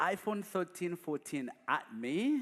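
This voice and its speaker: A man with a Ugandan accent speaks with lively intonation. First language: not English; English is his fourth language. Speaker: guest speaker. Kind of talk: testimony. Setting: church.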